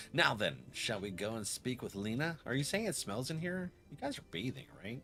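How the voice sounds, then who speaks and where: A man talks in a bright, sharp tone. His pitch swings very widely. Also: medium pitch for a man, moderate pace. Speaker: video game streamer. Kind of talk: live gameplay commentary.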